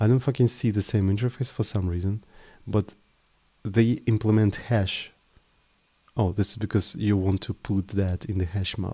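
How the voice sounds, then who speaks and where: A man with a Russian accent and a fairly low pitch speaks in a somewhat breathy, dark, mellow tone, his intonation fairly even and his speech broken by long, frequent pauses. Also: moderate pace. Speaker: programming live streamer. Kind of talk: live coding stream. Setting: live stream. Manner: casual, thinking aloud with hesitations.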